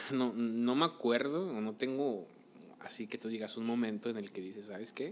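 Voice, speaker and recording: Here is an ordinary speaking voice: a man at medium pitch and a moderate pace, with ordinary pitch variation. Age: 30s. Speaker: podcast co-host. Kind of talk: casual chat.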